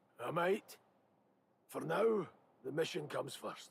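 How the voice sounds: A man puts on a raspy character voice pitched high. He speaks at a fairly slow pace.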